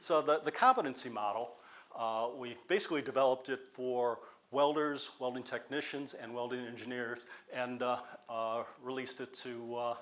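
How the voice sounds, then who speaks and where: At a moderate pace, a man with a medium pitch and fairly even intonation has a plain, everyday voice. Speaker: community college welding professor. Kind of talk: conference presentation.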